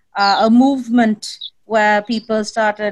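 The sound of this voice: At a slow pace, a woman speaks with medium pitch and fairly even intonation.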